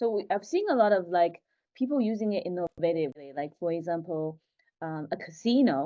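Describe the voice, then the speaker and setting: Fairly low-pitched woman with a Chinese accent, lively intonation and a fairly quick pace. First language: Mandarin Chinese. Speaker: tech founder. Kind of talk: interview podcast.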